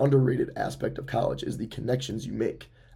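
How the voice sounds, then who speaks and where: A man's voice sits at medium pitch with a dark, mellow tone and vocal fry. He talks very fast with fairly even intonation, and audible room echo surrounds him. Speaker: podcast host. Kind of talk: casual monologue.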